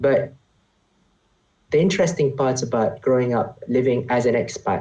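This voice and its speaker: Somewhat breathy, a man's dark, mellow voice at medium pitch, with ordinary pitch variation, very even loudness and a moderate pace. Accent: Malaysian. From Malaysia, grew up partly in Oman. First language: Malay. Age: 20s. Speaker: economics graduate, consultant. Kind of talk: casual interview conversation. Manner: halting, with frequent repetitions.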